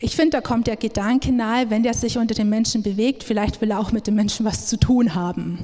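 Somewhat breathy, a woman speaks at a moderate pace with a fairly high pitch, a dark, mellow tone and fairly even intonation. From Upper Palatinate, Bavaria. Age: 30s. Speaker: missionary speaker. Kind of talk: sermon-style talk. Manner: many filler sounds (ähm).

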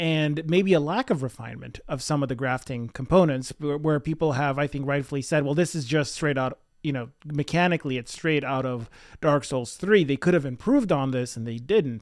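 On a very clean recording with a silent background, a man with a fairly high pitch and ordinary pitch variation talks at a fairly quick pace. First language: not English. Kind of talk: casual chat. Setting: shared single microphone.

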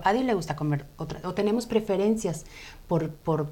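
A dark, mellow tone with lively intonation unfolds at a moderate pace. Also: woman. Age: 40s. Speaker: health coach. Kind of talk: interview on a live web show. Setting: studio.

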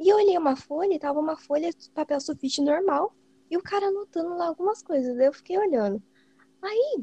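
A woman talks at a fairly quick pace in a dark, mellow tone. Her intonation is lively, and the sound is dry and close with no echo. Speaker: podcast co-host, exam candidate. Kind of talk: personal story in casual chat. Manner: animated.

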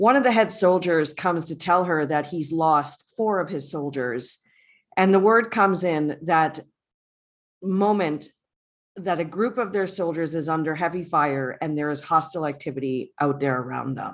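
At a moderate pace, a woman speaks in an ordinary speaking voice with fairly low pitch and ordinary pitch variation against a quiet background. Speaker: podcast co-host. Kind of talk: casual recap discussion. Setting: home recording, remote.

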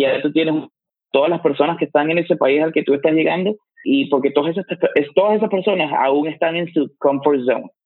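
The man's pitch sits fairly high. He moves at a fairly quick pace with fairly even intonation. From Venezuela, Valencia. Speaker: fitness coach. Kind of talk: interview. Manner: halting, with frequent repetitions.

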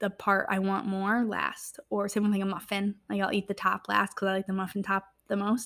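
The speaker is a woman with a medium pitch. She talks at a fairly quick pace. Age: 20s. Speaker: podcast host. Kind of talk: casual solo podcast monologue. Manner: chatty, filler-heavy.

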